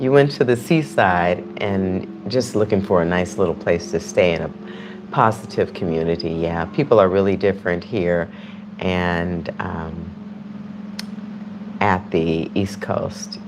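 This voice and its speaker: A woman with a very deep, low voice speaks at a fairly slow pace over noticeable background noise. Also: ordinary pitch variation. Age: 60s. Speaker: YouTube live streamer. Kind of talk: casual livestream chat. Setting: live stream. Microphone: external mic on phone.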